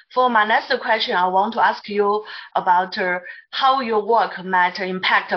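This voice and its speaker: A woman with a Mandarin accent speaks with ordinary pitch variation over a quiet background. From China. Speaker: materials scientist, panelist; panelist. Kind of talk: Q&A questions. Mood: polite, formal. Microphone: video call.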